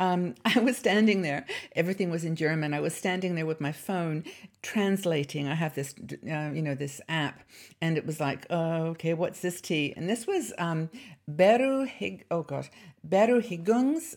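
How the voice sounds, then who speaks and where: A woman with a British accent speaks at a fairly low pitch with lively intonation. The recording is very clean, with a silent background. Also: moderate pace. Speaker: YouTube channel host. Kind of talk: casual vlog chat. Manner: chatty, hesitant with fillers.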